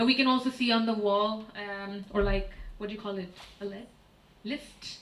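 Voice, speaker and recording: A woman with a Pakistani accent, fairly high in pitch and fairly even in intonation, at a moderate pace with long, frequent pauses, amid audible room echo and noticeable background noise. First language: Urdu. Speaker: artist and curator. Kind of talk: lecture. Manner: hesitant, many fillers.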